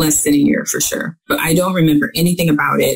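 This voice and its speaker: A woman speaks in a very deep, low pitch with a Midwestern American accent, and her voice is somewhat breathy. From US Midwest. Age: 50s. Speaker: author. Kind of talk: interview.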